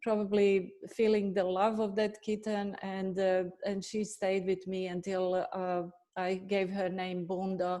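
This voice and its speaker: In a Bosnian accent, a woman talks at a fairly slow pace with a medium pitch, a dark, mellow tone and monotone, flat intonation. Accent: Bosnian accent, still noticeable. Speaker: veterinarian and animal nutritionist. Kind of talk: webinar self-introduction. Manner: halting, many fillers.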